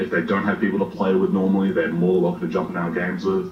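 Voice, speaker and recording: Music plays behind a man's voice. There is also audible room echo. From Australia. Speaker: game streamer. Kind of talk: podcast interview. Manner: hesitant, many fillers.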